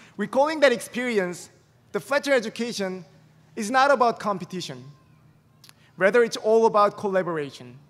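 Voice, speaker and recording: A man with a Korean accent, high-pitched for a man, at a fairly quick pace, with lively intonation and long, frequent pauses. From South Korea. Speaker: graduate student speaker. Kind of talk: commencement speech.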